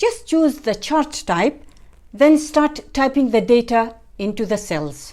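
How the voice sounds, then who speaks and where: A woman's upbeat voice in an Arabic accent, fairly slow, with very wide pitch swings and vocal fry. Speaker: software tutorial creator. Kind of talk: tutorial. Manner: friendly, upbeat.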